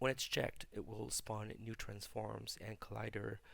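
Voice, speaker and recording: A man with a fairly low voice talks at a fairly slow pace, his intonation monotone and flat, with vocal fry throughout. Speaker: hobbyist game developer. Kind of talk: casual software tutorial devlog. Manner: hesitant, relaxed.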